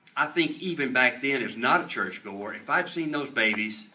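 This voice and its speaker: The pace is fairly slow, with lively intonation. Noticeable background noise runs underneath. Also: man. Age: 70s. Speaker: member of the public testifying at hearing. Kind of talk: public hearing testimony. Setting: state senate hearing room. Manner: halting, repeats words.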